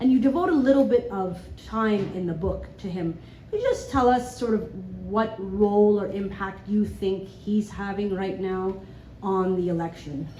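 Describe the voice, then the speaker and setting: Moderate pace and ordinary pitch variation, with audible echo in the room. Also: woman, medium pitch for a woman. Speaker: audience member, journalist. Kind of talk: audience question. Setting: live event with audience. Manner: loud.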